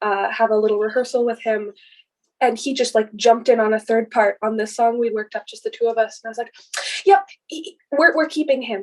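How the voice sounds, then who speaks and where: An unremarkable speaking voice with an American accent, fairly quick, with ordinary pitch variation and big swings in loudness. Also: woman, fairly high pitch for a woman. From Minnesota, US. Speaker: folk musician, fiddle player. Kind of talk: casual interview chat.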